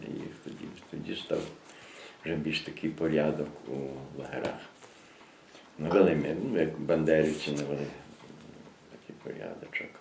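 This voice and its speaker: A man's very deep, low voice at a moderate pace, with fairly even intonation, long and frequent pauses, and big swings in loudness. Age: 80s+. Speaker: former political prisoner. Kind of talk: oral history interview answer.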